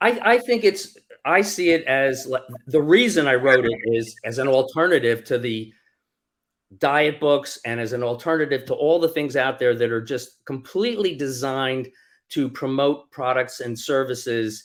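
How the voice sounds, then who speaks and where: Speaking at a moderate pace, a man has an unremarkable speaking voice, sitting at a medium pitch that varies in an ordinary way. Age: 60s. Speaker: author. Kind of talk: interview.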